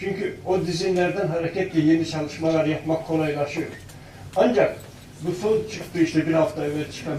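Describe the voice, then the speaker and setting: Over noticeable background noise and audible room echo, a man talks in a high pitch with fairly even intonation. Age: 70s. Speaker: author and researcher. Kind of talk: panel talk.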